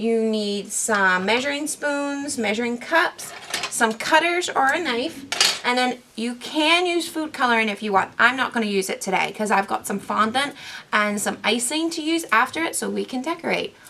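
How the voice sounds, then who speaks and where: A woman's high-pitched voice with a Northern Irish accent, lively intonation and a moderate pace. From Northern Ireland. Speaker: camp program director. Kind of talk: cooking tutorial to camera. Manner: friendly, casual.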